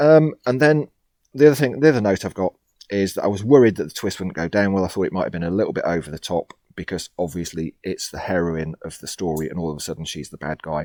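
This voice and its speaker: With a very deep, low pitch and lively intonation, a man speaks at a very fast pace on a very clean recording with a silent background. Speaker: horror story writer and narrator. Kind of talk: casual talk about own writing.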